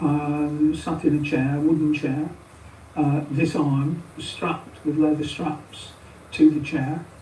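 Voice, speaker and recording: Very deep and low in pitch, a woman talks at a very slow pace in a monotone, flat intonation. Audible room echo and noticeable background noise fill the recording. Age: 70s. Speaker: retired head teacher. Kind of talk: interview. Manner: hesitant, with filler sounds.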